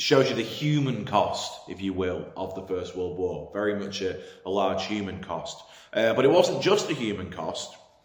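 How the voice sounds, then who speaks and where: Amid noticeable background noise and audible room echo, a man with a fairly low pitch talks at a moderate pace with lively intonation. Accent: English. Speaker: history teacher. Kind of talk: lecture. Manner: hesitant, many fillers.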